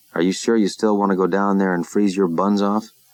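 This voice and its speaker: A man's booming, put-on character voice, fairly low and flat in a monotone, fairly quick, with very even loudness. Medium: read story.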